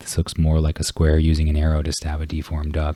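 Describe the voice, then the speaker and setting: Very deep and low, this man's somewhat breathy voice has a dark, mellow tone and monotone, flat intonation. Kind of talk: ASMR book reading.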